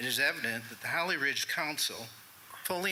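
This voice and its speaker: Through noticeable background noise, a man talks at a moderate tempo. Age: 60s. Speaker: resident speaking at public comment. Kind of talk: public comment at town meeting. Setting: town council meeting.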